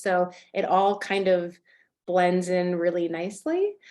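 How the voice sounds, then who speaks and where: A woman speaks at medium pitch with monotone, flat intonation. The background is quiet. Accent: American. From California. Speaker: photographer. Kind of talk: podcast interview.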